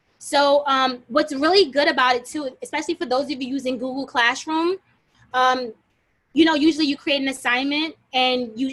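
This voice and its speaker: The woman's voice is high in pitch, and her intonation stays fairly even. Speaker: teacher leading a workshop. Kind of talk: workshop tutorial. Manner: fast. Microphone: video call.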